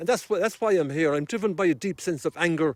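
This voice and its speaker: In a very clean recording with a silent background, a man with an Irish accent speaks with lively intonation, the sound dry and close with no echo. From Ireland. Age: 60s. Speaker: activist. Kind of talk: interview. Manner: halting.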